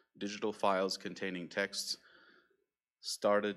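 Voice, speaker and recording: A man talks with a very deep, low pitch. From Israel. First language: Hebrew. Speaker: conference speaker, nonprofit program officer. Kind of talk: conference talk. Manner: hesitant, many fillers.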